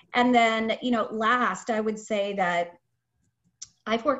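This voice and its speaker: A woman with an American accent and an unremarkable speaking voice talks at a fairly slow pace with ordinary pitch variation. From Japan (Tokyo), American family. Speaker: talent acquisition manager. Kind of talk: interview, casual conversation.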